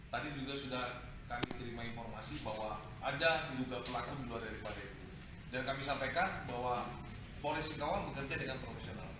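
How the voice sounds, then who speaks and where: With ordinary pitch variation and a fairly quick pace, a man talks through noticeable background noise and audible room echo. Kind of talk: official address to visitors. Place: office. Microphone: camera far.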